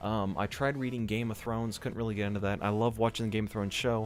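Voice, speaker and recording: Over music in the background, someone speaks very fast with an American accent. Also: man. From US South, Georgia. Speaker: gaming youtuber. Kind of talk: casual vlog talk. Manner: animated.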